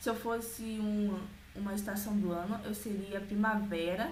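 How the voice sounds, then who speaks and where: In a room with audible echo and noticeable background noise, a woman speaks fairly slowly at a medium pitch with monotone, flat intonation. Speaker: vlogger. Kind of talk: casual vlog.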